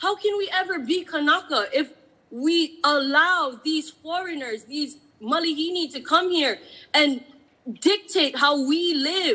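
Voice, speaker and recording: Extremely high-pitched and bright, sharp in tone, a woman with a Hawaiian accent raises and projects her voice. She speaks at a fairly slow pace with ordinary pitch variation. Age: 30s. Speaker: public testifier. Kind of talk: public testimony. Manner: impassioned.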